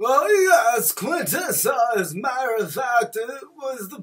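A man puts on a cartoonish character voice at an extremely high pitch with very wide pitch swings. He goes at a fairly slow pace with big swings in loudness. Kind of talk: comic overacting. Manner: prim, halting, then flustered outbursts.

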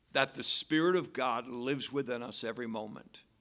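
A man speaks with a bright, sharp tone at a moderate pace. His pitch varies in an ordinary way over a quiet background. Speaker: preacher. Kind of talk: sermon. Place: church. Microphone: podium.

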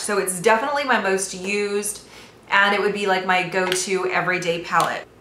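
A woman's fairly even-toned voice, with audible room echo and light background noise. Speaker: beauty vlogger. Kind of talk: casual vlog chat. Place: home room. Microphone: phone near.

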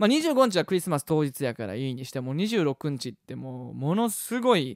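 Against a quiet background with a dry sound and no echo, a man speaks at a moderate pace with very wide pitch swings. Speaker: musician hosting weekly web show. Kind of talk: casual talk show chat. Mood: cheerful, playful. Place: home room. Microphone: studio mic.

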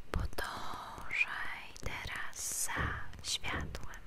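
Soft-spoken and whispering, the speaker goes at a very slow pace. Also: woman. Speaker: ASMR creator. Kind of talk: soft-spoken ASMR instructions. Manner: close soft ASMR whisper. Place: home room. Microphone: studio mic.

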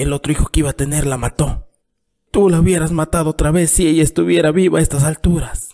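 A man speaks at a fairly quick pace and fairly high pitch, with a weary tone that is dark and mellow. The sound is dry and close with no echo. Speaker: storyteller narrator. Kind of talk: dramatic reading aloud of a literary short story, voicing both father and son. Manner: weary, pleading tone as the exhausted father begs for signs of the town; bitter, reproachful storytelling as the father recalls the son's birth.

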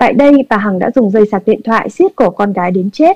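Speaking at a very fast pace, a woman uses lively intonation and a dark, mellow tone. The sound is dry and close, with no echo. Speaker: news anchor. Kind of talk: news reading. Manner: formal.

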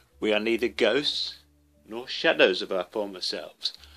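Music plays behind the speaker. The words come at a fairly slow pace. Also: man. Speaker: writer living with Parkinson's disease. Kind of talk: reading of own essay.

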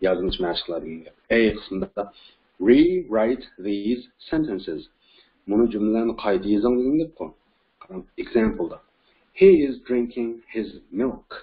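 At a very slow pace, a man speaks with medium pitch and lively intonation. He leaves long, frequent pauses. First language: Uyghur (speaking Turkish). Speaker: English teacher. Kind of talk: lecture.

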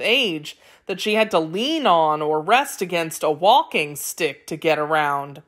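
A woman's normal speaking voice, fairly slow, with lively intonation, on a very clean recording against a silent background. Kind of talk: children's myth audiobook narration. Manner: clear, measured storyteller pacing with glossed vocabulary.

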